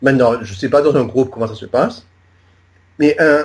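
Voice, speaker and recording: Here a man speaks at medium pitch. His pitch varies in an ordinary way. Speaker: journalist, magazine founder. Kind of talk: interview. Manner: halting, many repetitions.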